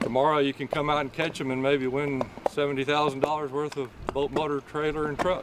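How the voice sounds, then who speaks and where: Over noticeable background noise, a man speaks at a moderate pace with hardly any pauses, the sound dry with no echo. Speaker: fishing guide captain. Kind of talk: interview answer. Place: boat.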